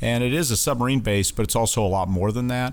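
A man speaks at a very fast pace with ordinary pitch variation. His voice carries audible room echo. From Wyoming (Casper). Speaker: naval base commanding officer. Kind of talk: interview. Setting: studio.

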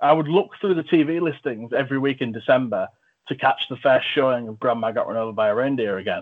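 A man with an English accent talks at a fairly quick pace. His pitch is medium, with ordinary variation. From England. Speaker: film review podcast host. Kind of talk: casual chat.

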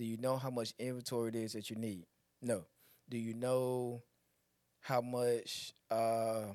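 An ordinary speaking voice with an American accent and fairly even intonation comes through on a very clean recording with a silent background. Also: man. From Elizabeth City, North Carolina. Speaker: esthetician and former barber. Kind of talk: casual interview.

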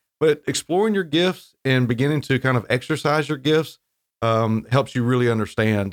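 The speaker has a plain, everyday voice with an American accent. The pace is moderate. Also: man, medium pitch for a man, lively intonation, very even loudness, very clean recording, silent background. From North Carolina coast (Wilmington). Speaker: seminary dean and pastor. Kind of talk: interview.

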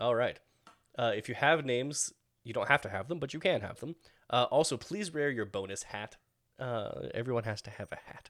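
A man with an unremarkable speaking voice and medium pitch talks at a fairly quick pace, with lively intonation and big swings in loudness. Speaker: game master running a tabletop RPG. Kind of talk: casual tabletop roleplaying game session.

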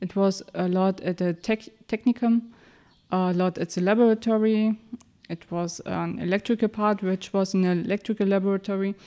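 A woman's medium-pitched voice with a German accent, monotone and flat, at a moderate pace, with a dry, close sound and no echo. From Mecklenburg-Vorpommern, Germany. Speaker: engineer. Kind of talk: interview. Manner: halting.

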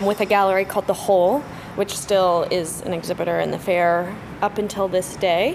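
A woman speaks at a moderate pace. Noticeable background noise is heard. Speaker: art fair programming director. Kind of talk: interview. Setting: art fair tent.

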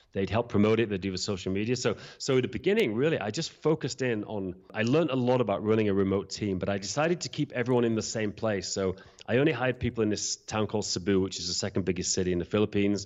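A man's fairly low voice with a British accent, ordinary pitch variation, a very fast pace and hardly any pauses. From UK. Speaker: event software entrepreneur and podcast host. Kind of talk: casual interview chat; podcast intro monologue.

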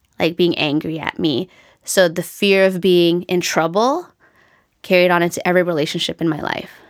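Speaking with a Canadian accent, a woman has an unremarkable speaking voice. Her pitch is fairly low, her pace moderate and her intonation fairly even. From Canada. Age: 40s. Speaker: occupational therapist and author. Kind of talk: casual interview.

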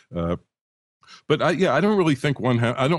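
With a dry, close sound, no echo and a quiet background, a man talks at a fairly quick pace with vocal fry and very wide pitch swings. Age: 60s. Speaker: audio expert and author. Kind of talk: casual chat. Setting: Skype call. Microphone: good quality audio.

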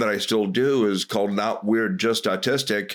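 A man speaks fairly slowly in a normal speaking voice, at a medium pitch with fairly even intonation. The recording is very clean, with a silent background. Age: 50s. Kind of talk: casual interview.

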